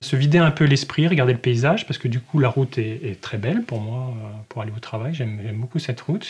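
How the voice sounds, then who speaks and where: A somewhat breathy voice at a fairly quick pace over a quiet background. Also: man. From northern Morvan, Burgundy, France. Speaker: naturalist. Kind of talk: interview. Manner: halting.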